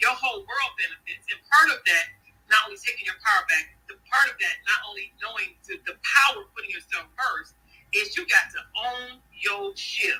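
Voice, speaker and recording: Speaking at a moderate pace, a woman sounds animated, her loudness swinging widely. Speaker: author. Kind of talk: interview. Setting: online audio room.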